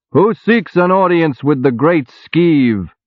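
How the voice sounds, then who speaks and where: A loud, put-on character voice from a man, fairly high in pitch, at a fairly slow pace with lively intonation. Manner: loud, commanding.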